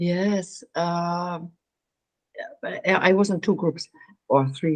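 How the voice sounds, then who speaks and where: A woman with a German accent and a fairly low pitch speaks at a very slow pace. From Germany. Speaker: meditation coach. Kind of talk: interview. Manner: halting.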